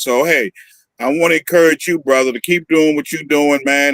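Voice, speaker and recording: A man with an American accent has an unremarkable speaking voice at a fairly high pitch. His intonation stays fairly even, and the sound is dry and close with no echo. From Northern California. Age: 60s. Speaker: activist. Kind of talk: interview.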